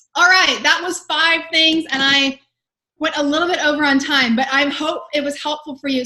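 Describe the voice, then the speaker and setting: With an American accent, the speaker uses a raised, projected voice and a bright, sharp tone. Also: woman. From Texas. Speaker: sales and communication coach. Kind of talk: webinar presentation. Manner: fast; animated.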